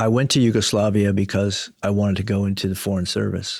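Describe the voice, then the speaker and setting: In a plain, everyday voice with an American accent, the speaker goes at a moderate pace on a very clean recording with a silent background. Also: man. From United States. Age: 60s. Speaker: telecom company CEO. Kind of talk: podcast interview.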